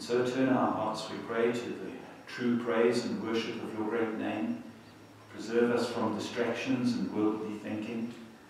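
Strong room echo surrounds a man speaking at a fairly slow pace. His intonation is monotone and flat, with light background noise. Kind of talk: public prayer. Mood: calm, solemn. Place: church.

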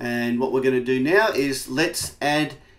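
The background is quiet as a man talks at a moderate pace. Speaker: software trainer. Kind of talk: tutorial. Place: home room.

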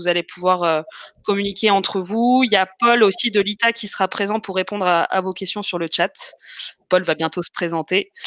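A woman talks at a moderate pace with fairly even intonation. The background is quiet and the sound is dry, with no echo. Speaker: webinar host. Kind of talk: hosting live webinar introduction. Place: home room. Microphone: webcam.

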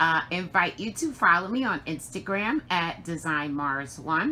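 The woman's voice has a bright, sharp tone. Light background noise runs underneath. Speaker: crafting channel host. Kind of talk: casual vlog chat. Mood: warm and grateful. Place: home room. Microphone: phone near.

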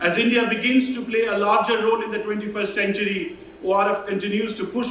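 A high-pitched man at a fairly quick pace, fairly even intonation, audible room echo, and light background noise. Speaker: host college official giving welcome address. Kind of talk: formal welcome speech. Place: hall.

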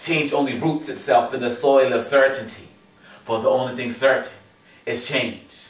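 In a room with audible echo, a man speaks at a moderate pace and medium pitch with monotone, flat intonation. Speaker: spoken word poet. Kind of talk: spoken word poetry performance. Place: home room. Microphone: camera far.

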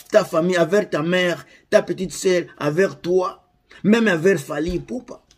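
The man's pitch is high, with ordinary pitch variation. He speaks at a fairly slow pace against a quiet background. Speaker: YouTuber commenting on Congolese celebrity news. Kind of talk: angry rant, indignant commentary directed at the camera. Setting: online video, addressing viewers. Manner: indignant, ranting, stumbling and repeating words.

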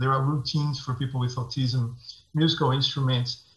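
Over a quiet background with audible room echo, the voice has a bright, sharp tone and a Portuguese accent. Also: man. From Brazil. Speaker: tech founder; panel expert. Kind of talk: presentation. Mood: earnest, personal story.

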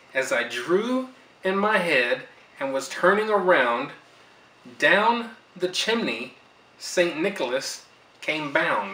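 A man with a high pitch talks at a very slow pace, with very wide pitch swings and long, frequent pauses, in a room with audible echo. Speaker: grandfather reading to granddaughter. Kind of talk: storybook reading aloud. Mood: warm, gentle. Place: home room. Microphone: camera far.

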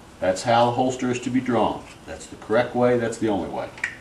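A man speaks at a fairly quick pace. Audible room echo and light background noise surround his voice. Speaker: holster maker demonstrating product. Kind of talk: tutorial. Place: workshop. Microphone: camera far.

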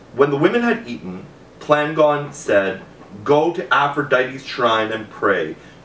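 A man talks at a fairly slow pace with a fairly high pitch and very wide pitch swings. There is light background noise and audible room echo. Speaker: reader of a classical novel. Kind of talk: audiobook reading aloud of an ancient Greek novel. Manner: measured, narrative storytelling pace with formal tone. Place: home room.

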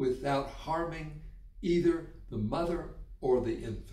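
Audible room echo surrounds the speech of this man. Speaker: health educator. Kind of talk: educational explainer. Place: home room.

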